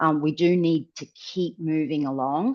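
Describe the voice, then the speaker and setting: A woman speaks in a normal speaking voice, fairly low in pitch with ordinary pitch variation, recorded dry and close with no echo. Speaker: software trainer presenting a webinar. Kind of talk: webinar software demo.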